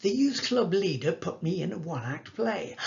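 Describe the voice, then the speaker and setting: Very wide pitch swings run through speech delivered at a moderate pace. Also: man. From northern England, Salford. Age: 80s+. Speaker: actor telling life story. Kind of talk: storytelling talk. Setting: video call.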